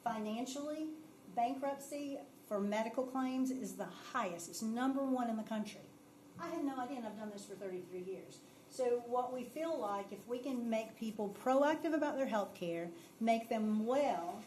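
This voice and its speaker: Audible room echo and noticeable background noise accompany a woman speaking at a moderate pace, her fairly high voice showing ordinary pitch variation. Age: 50s. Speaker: benefits presenter. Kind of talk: presentation at council meeting. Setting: city council meeting.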